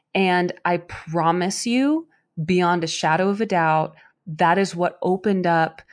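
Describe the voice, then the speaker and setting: At a moderate pace, a woman with a fairly low pitch talks in an unremarkable speaking voice. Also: quiet background. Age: 30s. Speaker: podcast co-host. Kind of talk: casual chat.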